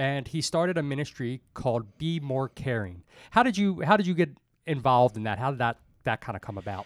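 A man with an ordinary speaking voice talks at a fairly quick pace and a medium pitch with lively intonation, on a very clean recording with a silent background and a dry, close sound with no echo. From Baltimore, Maryland (Dundalk). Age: 30s. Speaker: podcast host. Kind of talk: casual interview.

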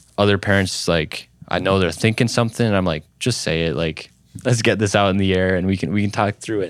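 With an Upper Midwest accent, a man talks with fairly even intonation. The recording is very clean, with a silent background. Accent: Upper Midwest (Minnesota). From central Minnesota (small town). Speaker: youth pastor. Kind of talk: casual interview chat.

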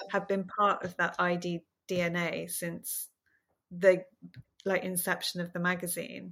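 A woman's fairly low, monotone, flat delivery in a southern English accent, very slow with long, frequent pauses. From southern England, small town outside London. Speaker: fashion stylist. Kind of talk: casual chat. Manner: warm, unassuming.

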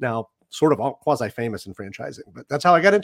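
In a very clean recording with a silent background, a man with an American accent speaks at a very fast pace. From Saint Louis, US Midwest. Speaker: franchise development director guest. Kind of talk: casual professional interview.

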